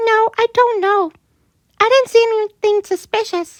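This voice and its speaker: A woman puts on a squeaky character voice, extremely high in pitch, with fairly even intonation and a moderate pace. The sound is dry and close, with no echo. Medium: read story.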